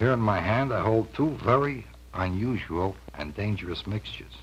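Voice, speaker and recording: A man with a fairly low pitch and vocal fry swings very widely in pitch. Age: middle-aged. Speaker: pitchman. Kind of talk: vintage TV infomercial pitch.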